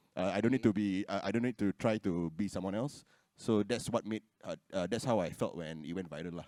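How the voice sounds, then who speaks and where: In a Singaporean accent, a man with a fairly low pitch and a dark, mellow tone talks at a fairly quick pace with ordinary pitch variation, the sound dry and close with no echo. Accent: Singlish. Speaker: content creator. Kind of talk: panel discussion.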